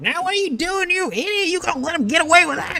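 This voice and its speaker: An extremely high-pitched put-on character voice at a very fast pace, with faint music in the background. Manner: berating, taunting.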